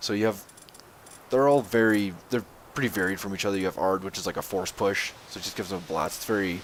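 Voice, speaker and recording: Over noticeable background noise, a man with a very deep, low voice speaks with fairly even intonation. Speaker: gaming channel host. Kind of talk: video game commentary. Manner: monotone.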